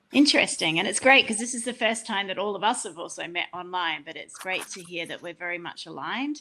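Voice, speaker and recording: A woman with an Australian accent in a bright, sharp tone, with lively intonation, a very fast pace and hardly any pauses. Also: medium pitch for a woman. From Australia, rural Queensland. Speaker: panel moderator. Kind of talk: online panel discussion.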